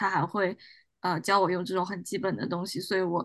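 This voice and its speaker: Over a quiet background, a woman talks in a plain, everyday voice. Her pitch is medium and her pace fairly quick. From China. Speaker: doctoral student in clinical psychology. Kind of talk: casual discussion.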